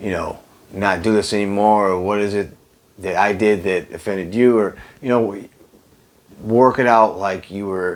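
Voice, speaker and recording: A man with an American accent speaks with a fairly low pitch. His pace is fairly slow and his intonation fairly even. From United States. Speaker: travel vlogger. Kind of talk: casual talk to camera. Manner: conversational with many fillers.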